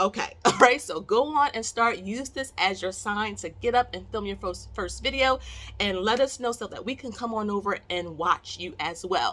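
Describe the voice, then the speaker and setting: A woman speaks loudly at a moderate pace in a fairly high pitch with ordinary pitch variation. Her tone is bright, sharp and animated. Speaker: investing YouTuber. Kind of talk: casual vlog talk to camera. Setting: home bedroom recording.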